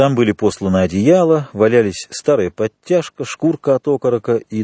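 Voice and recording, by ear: Against a quiet background, someone is reading aloud in a natural voice with lively intonation.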